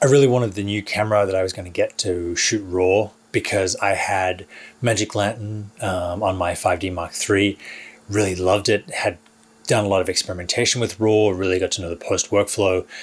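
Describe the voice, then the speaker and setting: A man's fairly low, somewhat breathy voice at a fairly quick pace, with fairly even intonation. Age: 40s. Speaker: filmmaker and YouTuber. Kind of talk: vlog monologue to camera. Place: studio.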